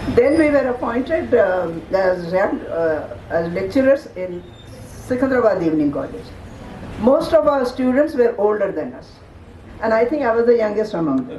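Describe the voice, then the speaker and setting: Audible room echo and noticeable background noise around a woman's fairly high voice, with very wide pitch swings, big swings in loudness and a moderate pace. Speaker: retired political science professor. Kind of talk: interview conversation on stage.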